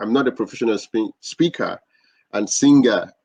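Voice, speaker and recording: With a Nigerian accent, a man speaks at a moderate pace in a dry, close recording with no echo. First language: not English. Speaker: podcast host. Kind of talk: interview.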